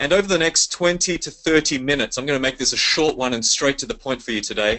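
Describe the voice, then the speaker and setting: Lively intonation carries a man's speech in an Australian accent. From Sydney, Australia. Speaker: network marketing leader. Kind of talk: sales pitch webinar. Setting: conference call. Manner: animated.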